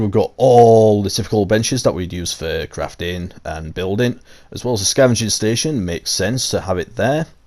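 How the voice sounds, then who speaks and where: A man talks with a Yorkshire accent at a medium pitch. His pace is moderate and his pitch variation is ordinary. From Yorkshire, England. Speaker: gaming YouTuber. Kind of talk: casual game tour commentary.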